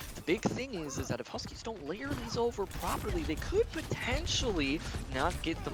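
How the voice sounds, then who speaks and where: Music can be heard in the background. A man speaks over it at a moderate pace. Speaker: esports caster. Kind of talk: live commentary. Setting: LAN event venue.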